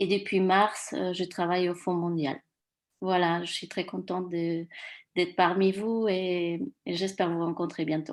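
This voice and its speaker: A woman's fairly low pitch at a fairly slow pace, with fairly even intonation. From Mexico. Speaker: new committee member. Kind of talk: self-introduction at a meeting. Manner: hesitant.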